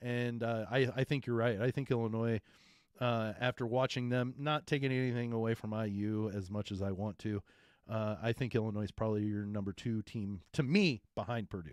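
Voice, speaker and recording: A man speaks fairly quickly in an ordinary speaking voice at a medium pitch with fairly even intonation. The sound is dry and close with no echo. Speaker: sports podcast co-host, former coach. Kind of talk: casual sports talk.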